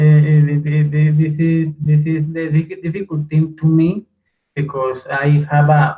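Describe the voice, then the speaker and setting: A man with a Spanish accent and a dark, mellow, fairly high voice speaks in a monotone, flat intonation at a fairly slow pace. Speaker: language student. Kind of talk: class discussion. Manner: halting.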